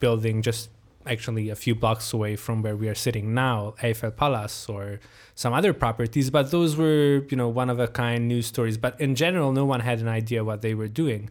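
A man speaks with a Hungarian accent. The recording is very clean, with a silent background. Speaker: journalist. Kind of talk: interview. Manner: halting.

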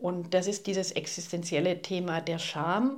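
A woman talks very slowly at a medium pitch. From Swabia, southern Germany (Ulm). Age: 60s. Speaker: poet and novelist. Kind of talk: interview. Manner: hesitant, with fillers.

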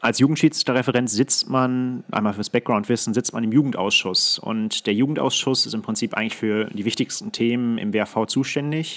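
This is an ordinary speaking voice from a man at a moderate pace with hardly any pauses. His medium pitch has ordinary pitch variation, and the sound is dry and close with no echo. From Ruhr area, Germany (Datteln). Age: 20s. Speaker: hockey referee. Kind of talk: casual chat. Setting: video call.

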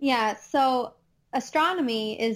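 In a Midwestern accent, a woman speaks at a very slow pace. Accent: Midwestern twang, noticeable. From US Midwest, Chicago suburbs, Illinois. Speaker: astronomer and educator. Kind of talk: casual interview chat. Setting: remote podcast recording with microphone.

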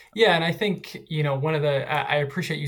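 Against noticeable background noise, a man's speech moves at a fairly quick pace. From Philadelphia. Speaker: football fan. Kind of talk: casual chat.

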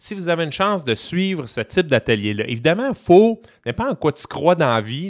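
Recorded very cleanly against a silent background, this man's fairly high voice sounds dry and close with no echo, swinging very widely in pitch at a moderate pace. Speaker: radio columnist. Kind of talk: casual radio chat and culture column.

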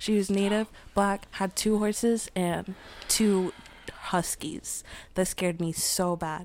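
With an American accent, a woman speaks at a fairly slow pace in a medium pitch, her intonation monotone and flat. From Queens, New York. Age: 20s. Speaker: activist and doula. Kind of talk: casual chat.

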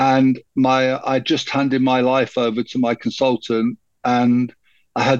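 The sound is dry and close with no echo, carrying a voice with a British accent. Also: man. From UK, moved around many cities. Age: 60s. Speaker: cancer support group founder. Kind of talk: interview conversation.

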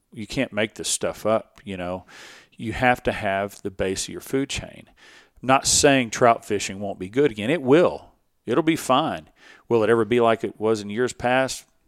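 This man has a Texas accent and a medium pitch with ordinary variation. He talks at a moderate pace with big swings in loudness, on a very clean recording with a silent background. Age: 40s. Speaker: fishing guide. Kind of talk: casual chat. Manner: halting.

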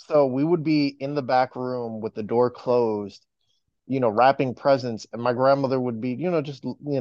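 At a fairly quick pace, a man with an American accent speaks at a medium pitch with fairly even intonation in an unremarkable speaking voice. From New York, Dominican heritage. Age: 20s. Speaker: podcaster. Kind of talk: casual chat.

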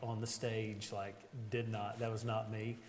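A man with an American accent, plus audible room echo and noticeable background noise. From West Virginia, Beckley. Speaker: pastor. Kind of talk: interview before a live group.

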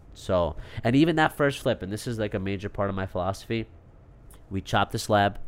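Speaking with a New York accent, a man talks at a very fast pace with lively intonation and long, frequent pauses. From Long Island, New York. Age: 30s. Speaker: real estate entrepreneur. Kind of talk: casual interview chat. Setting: studio.

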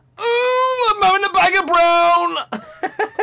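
A put-on character voice, strained and extremely high in pitch, moves along at a moderate pace. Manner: strained, as if constipated.

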